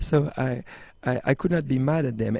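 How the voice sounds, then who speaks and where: A man's dark, mellow voice moves along at a fairly quick pace. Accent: French. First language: French. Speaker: extreme sports athlete and entrepreneur. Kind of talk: interview. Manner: halting, many fillers and restarts.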